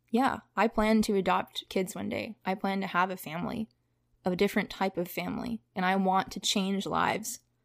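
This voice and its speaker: A woman with vocal fry speaks at a medium pitch in fairly even intonation. The sound is dry and close with no echo, a very clean recording with a silent background. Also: moderate pace. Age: 20s. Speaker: podcast guest sharing personal story. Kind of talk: casual interview chat.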